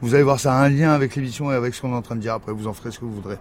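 A man speaks at a very fast pace with a medium pitch and fairly even intonation. Noticeable background noise runs underneath. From Morocco. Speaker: filmmaker and actor. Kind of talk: casual chat. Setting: apartment at home.

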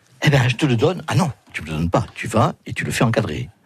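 A somewhat breathy man speaks at a moderate pace, his pitch swinging very widely. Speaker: comedian and painter. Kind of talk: interview. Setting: studio.

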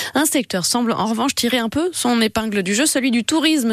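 Dry and close with no echo, a woman's unremarkable speaking voice sounds fairly high in pitch. She talks at a moderate pace with lively intonation. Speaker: radio news presenter. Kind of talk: news reading. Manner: formal.

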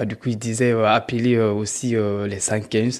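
A man speaks at a very slow pace in a medium pitch. His intonation stays monotone and flat. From Guinea. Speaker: former migrant, beneficiary of charity. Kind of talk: interview testimony. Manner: halting, many fillers.

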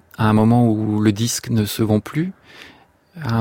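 A man speaks very slowly at a medium pitch, with a dark, mellow tone and fairly even intonation. The sound is dry and close, with no echo. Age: young. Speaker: composer. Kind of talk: radio interview.

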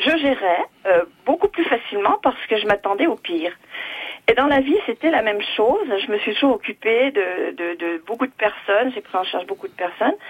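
With lively intonation, a woman with a fairly high pitch speaks at a moderate pace. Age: 60s. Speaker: retired nurse. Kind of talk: call-in testimony. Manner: halting.

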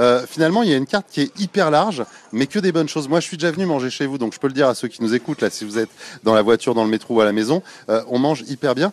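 Very fast speech with lively intonation comes through in a dry, close sound with no echo. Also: man, fairly high pitch for a man. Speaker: radio reporter. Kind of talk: live radio reportage, casual chat. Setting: on location in a shopping centre. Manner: animated, chatty.

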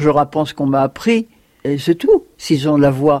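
A woman speaks with a very deep, low pitch at a moderate pace. Her tone is dark and mellow. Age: 80s+. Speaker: singing teacher, former opera singer. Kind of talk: casual interview.

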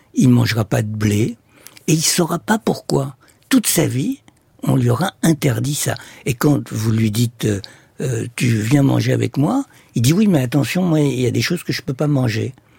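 Medium-pitched male voice, dark and mellow in tone and somewhat breathy, with lively intonation, a fairly slow pace, and a dry, close sound with no echo. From Egypt. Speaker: ethnopsychiatrist. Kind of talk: radio interview.

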